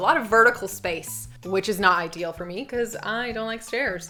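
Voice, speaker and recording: Over background music, a woman in an American accent talks at a medium pitch with lively intonation. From USA. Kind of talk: casual talk to camera.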